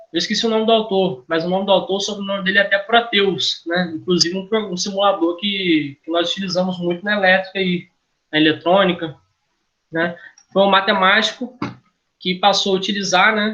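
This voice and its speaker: A man with a Brazilian accent, high-pitched, bright and sharp, raised and projected, fairly quick in pace with fairly even intonation. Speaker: engineering lecturer. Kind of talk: lecture. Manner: halting, self-correcting.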